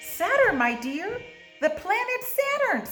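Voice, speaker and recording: Using a put-on, squeaky character voice, a woman speaks at an extremely high pitch with very wide pitch swings and a fairly slow pace as clear music plays in the background. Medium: read story. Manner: mystical, airy whisper.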